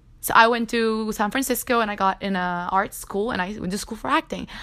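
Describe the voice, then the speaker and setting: Animated in tone, a woman with a Spanish accent talks at a fairly high pitch on a very clean recording with a silent background. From Cuba. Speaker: podcast host. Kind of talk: personal monologue.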